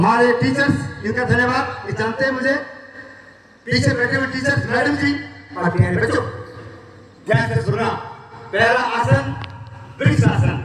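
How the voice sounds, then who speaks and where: A man speaks with long, frequent pauses. There is audible room echo and noticeable background noise. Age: 60s. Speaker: yoga teacher. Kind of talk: talk to school pupils. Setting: school assembly.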